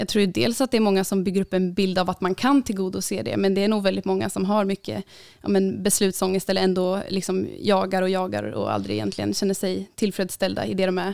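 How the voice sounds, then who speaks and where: A woman at medium pitch, with ordinary pitch variation, a very fast pace and hardly any pauses, on a very clean recording with a silent background. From Uppsala, Sweden. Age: 20s. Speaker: student and middle-distance runner. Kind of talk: podcast interview.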